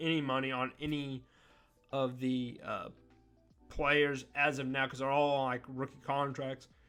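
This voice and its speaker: Music plays behind a man who speaks at a moderate pace. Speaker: NBA commentary YouTuber. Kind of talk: casual sports talk monologue. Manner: loud.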